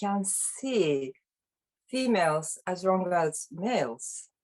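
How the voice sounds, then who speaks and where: A woman speaks with a Japanese accent at a medium pitch and lively intonation. Music plays in the background. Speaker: workshop participant. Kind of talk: group discussion. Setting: video call. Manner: halting.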